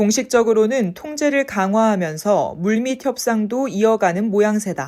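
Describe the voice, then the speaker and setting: Over a very clean recording with a silent background, a woman with a fairly high pitch and a dark, mellow tone talks at a fairly slow pace with lively intonation and hardly any pauses. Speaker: voice and speech coach. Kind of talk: news article reading, sentence by sentence for repetition practice. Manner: clear, crisp articulation.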